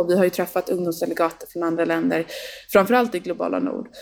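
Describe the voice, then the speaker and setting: Noticeable noise sits in the background. The woman's voice is fairly low in pitch. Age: 20s. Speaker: youth representative to the UN. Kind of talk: casual interview.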